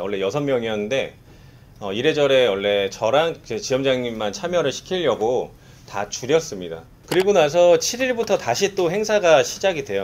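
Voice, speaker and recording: Talking at a fairly quick pace, a man moves through very wide pitch swings. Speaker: insurance sales manager. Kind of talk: staff briefing.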